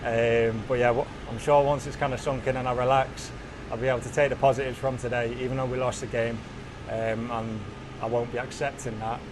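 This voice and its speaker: A man talks fairly quickly at a medium pitch in a monotone, flat intonation. Room echo is audible, and background noise is noticeable. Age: 20s. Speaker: professional footballer. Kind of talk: post-match interview. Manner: halting.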